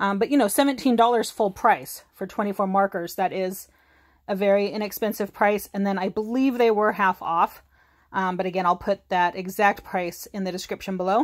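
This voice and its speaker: The background is quiet as a woman speaks at a moderate pace. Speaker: craft haul vlogger. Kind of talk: casual haul review chat.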